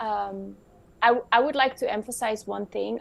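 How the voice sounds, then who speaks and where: With a non-native accent, a woman speaks at a fairly high pitch and a moderate pace. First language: not English. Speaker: web3 expert. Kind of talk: panel discussion.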